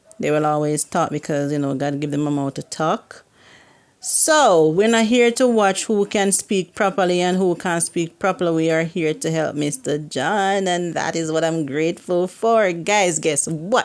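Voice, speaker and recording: Speaking in a Jamaican accent, a woman has a fairly low pitch. She keeps a moderate pace with ordinary pitch variation. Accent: Jamaican, can't pronounce H and Y. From Jamaica, Kingston. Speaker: YouTuber. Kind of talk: casual vlog talk. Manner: animated.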